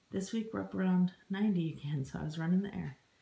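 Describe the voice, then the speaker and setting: Her tone dark and mellow and somewhat breathy, a woman of medium pitch talks at a fairly quick pace with ordinary pitch variation. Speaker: homesteader vlogger. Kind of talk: home tour vlog. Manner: casual, upbeat.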